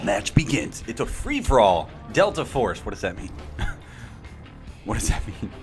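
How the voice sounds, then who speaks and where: With music in the background, a man talks at a moderate pace, taking long, frequent pauses and making big swings in loudness. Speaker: shoutcaster for a video game match. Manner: play-by-play commentary style.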